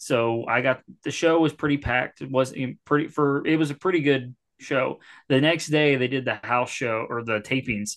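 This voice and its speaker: Against a quiet background, a man speaks in an unremarkable speaking voice. His pitch is medium, his pace moderate and his intonation fairly even. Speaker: wrestling podcaster. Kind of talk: casual banter podcast with profanity.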